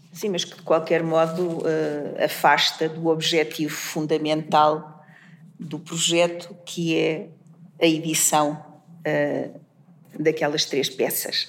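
A woman at a very slow pace with long, frequent pauses, her pitch very deep and low and her intonation flat and monotone. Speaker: literature professor. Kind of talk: academic discussion. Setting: university seminar room. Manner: hesitant, many fillers.

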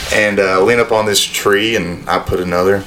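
A man speaks at a fairly slow pace in a Southern US accent. Background noise is noticeable. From North Alabama. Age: 20s. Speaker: podcast guest, former college football player. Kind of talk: casual chat.

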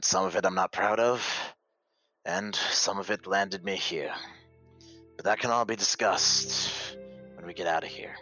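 Using a put-on character voice at a fairly low pitch, a man speaks at a moderate pace with long, frequent pauses while faint music plays in the background. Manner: wry, world-weary, condescending.

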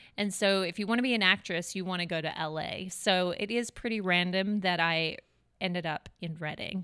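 A woman with an American accent speaks at a moderate pace in a medium pitch, with fairly even intonation and a bright, sharp tone, on a very clean recording with a silent background. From Melbourne, Australia. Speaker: podcast host. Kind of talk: casual interview chat.

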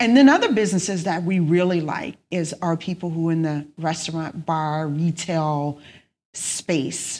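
Recorded very cleanly against a silent background, a woman with a Louisiana accent speaks fairly slowly at a fairly low pitch, with ordinary pitch variation. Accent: Louisiana Southern US. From South Louisiana, Lake Charles. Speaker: accountant and business owner. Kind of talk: interview conversation.

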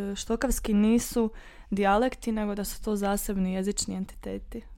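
A woman speaks at a moderate pace and a fairly high pitch in a flat monotone. The recording is very clean with a silent background. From western Herzegovina, Bosnia and Herzegovina. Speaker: student discussing dialects. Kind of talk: casual academic discussion.

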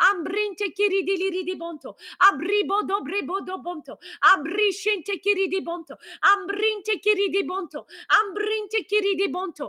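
A raised, projected voice carries a passionate, bright, sharp tone. The sound is dry and close, with no echo. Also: woman, extremely high pitch for a woman, ordinary pitch variation, moderate pace. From Switzerland. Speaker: pastor. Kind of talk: fervent, passionate prayer in tongues, intercession with rising intensity. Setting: live online broadcast. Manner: passionate, urgent, fervent.

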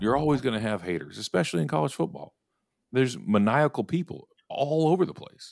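A man with an American accent talks at a fairly quick pace and medium pitch. His voice has vocal fry and very wide pitch swings. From Texas. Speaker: podcast host. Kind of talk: casual chat. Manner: animated.

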